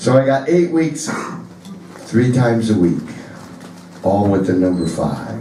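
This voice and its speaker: A man with an American accent and a medium pitch speaks at a fairly slow pace with very wide pitch swings and long, frequent pauses, amid noticeable background noise and audible room echo. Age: 60s. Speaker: blues musician. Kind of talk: stage banter. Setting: stage with audience.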